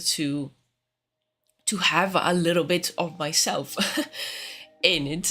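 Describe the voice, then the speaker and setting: A woman with a non-native accent speaks at a fairly slow pace, her fairly low pitch showing ordinary variation and her tone bright and sharp, on a very clean recording with a silent background. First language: not English. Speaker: concept artist streamer. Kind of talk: live stream chat. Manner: halting, many fillers.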